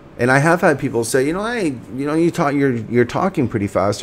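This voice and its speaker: A man speaks with ordinary pitch variation. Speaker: cannabis show host. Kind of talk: livestream monologue. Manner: fast; halting, many fillers.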